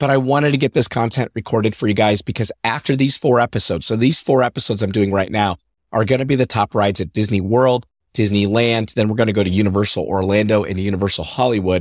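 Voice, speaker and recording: Upbeat and enthusiastic, a man with a fairly low pitch speaks at a very fast pace with ordinary pitch variation and very even loudness, in a dry, close recording with no echo and a silent background. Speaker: podcast host. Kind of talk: scripted-style podcast monologue. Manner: upbeat, enthusiastic.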